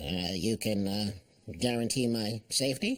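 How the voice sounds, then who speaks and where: In a cartoonish character voice, a man talks at a moderate pace with a medium pitch. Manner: hesitant.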